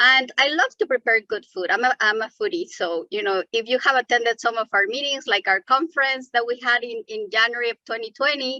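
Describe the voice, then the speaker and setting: Dry and close with no echo, a woman in a Mexican accent speaks with a bright, sharp tone and high pitch at a fairly quick pace, hardly pausing. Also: lively intonation. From Mexico City. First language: Spanish. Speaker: environmental justice advocate. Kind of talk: webinar presentation.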